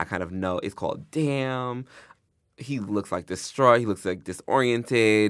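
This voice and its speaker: On a very clean recording with a silent background, a man with an American accent uses an ordinary speaking voice at a medium pitch, ordinary pitch variation and a fairly slow pace. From Long Island, New York and Georgia. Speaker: writer and critic. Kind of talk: casual interview.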